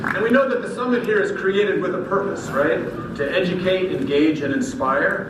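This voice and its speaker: With very wide pitch swings, a man's voice carries audible room echo over noticeable background noise. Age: 60s. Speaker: keynote speaker and masters pole vaulter. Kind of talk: speech.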